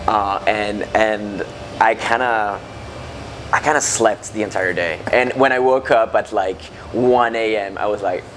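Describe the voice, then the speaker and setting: There is noticeable background noise as a man speaks at a fairly low pitch. His pace is fairly slow and his intonation fairly even. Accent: French. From France. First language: French. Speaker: metalcore band frontman. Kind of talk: interview. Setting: music festival backstage. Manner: halting.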